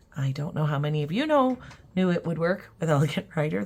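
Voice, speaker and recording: A woman talks with vocal fry at a very deep, low pitch. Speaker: watercolor teacher. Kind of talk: tutorial. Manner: casual, hesitant with fillers.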